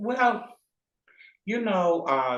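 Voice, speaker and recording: A quiet man at a very slow pace, with very wide pitch swings. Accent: American. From rural South Georgia, USA. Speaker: retired nurse, enterostomal therapist. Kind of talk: interview answer. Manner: quiet, modest.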